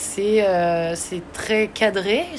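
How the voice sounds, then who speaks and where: A woman talks at a medium pitch with fairly even intonation. Noticeable background noise runs underneath. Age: 30s. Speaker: pastry and ice cream instructor. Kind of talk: interview.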